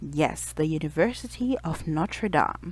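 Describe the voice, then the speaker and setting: A fairly slow woman's voice with a non-native accent, on a very clean recording with a silent background. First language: not English. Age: 30s. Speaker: youtuber. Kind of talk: personal vlog storytelling. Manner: casual, conversational.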